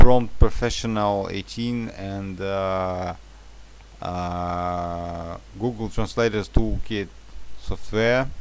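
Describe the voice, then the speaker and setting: A man with a Russian accent, fairly low-pitched, speaking very slowly, with ordinary pitch variation and big swings in loudness. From Russia, St. Petersburg. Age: 30s. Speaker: translator. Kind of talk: job application self-introduction. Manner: halting, many fillers.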